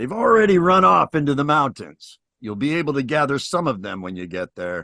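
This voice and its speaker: A man puts on a character voice, fairly high-pitched for a man, talking at a fairly quick pace with very wide pitch swings over a quiet background. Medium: solo performance. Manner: urgent, matter-of-fact.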